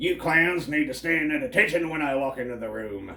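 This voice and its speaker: A man's put-on character voice, fairly high-pitched, at a fairly quick clip. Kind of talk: military, commanding. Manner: barking orders, stern.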